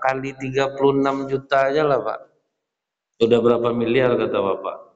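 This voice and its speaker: A man speaks against a quiet background. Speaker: religious teacher. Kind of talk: sermon. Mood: humorous storytelling. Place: hall. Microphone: podium.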